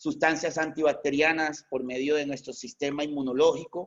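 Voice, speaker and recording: This man has an ordinary speaking voice at a fairly high pitch. He talks at a moderate pace. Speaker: veterinarian lecturer. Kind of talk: lecture. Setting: online video conference.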